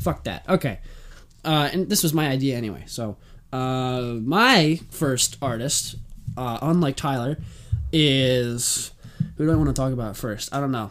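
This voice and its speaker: A man speaks at a medium pitch with ordinary pitch variation. He leaves long, frequent pauses. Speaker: podcast host. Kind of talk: casual podcast chat. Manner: fast talker.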